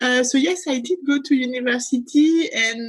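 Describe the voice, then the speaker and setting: A woman speaks with a French accent and lively intonation. Her voice is somewhat breathy. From France, Grenoble. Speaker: life and meditation coach. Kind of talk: interview.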